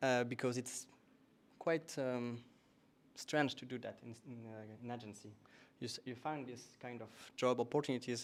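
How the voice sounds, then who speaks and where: In a French accent, a man with a medium-pitched voice talks at a moderate pace with fairly even intonation. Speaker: meetup host. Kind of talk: event announcements. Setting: stage with audience, streamed.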